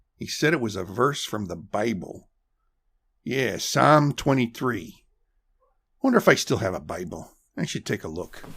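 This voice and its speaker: A raspy, put-on character voice makes very wide pitch swings. It moves at a moderate pace with long, frequent pauses. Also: man, medium pitch for a man. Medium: audio drama. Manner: mumbling, hesitant.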